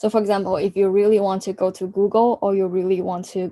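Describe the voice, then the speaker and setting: Speaking at a fairly quick pace against a quiet background, a woman with a dark, mellow tone and medium pitch keeps a monotone, flat intonation. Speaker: career coach. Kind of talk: workshop talk. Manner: halting, many fillers and restarts.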